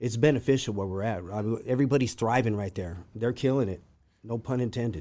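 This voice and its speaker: A man's dark, mellow voice at medium pitch and a very fast pace, with ordinary pitch variation. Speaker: formerly incarcerated guest. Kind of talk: interview. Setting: studio. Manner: articulate.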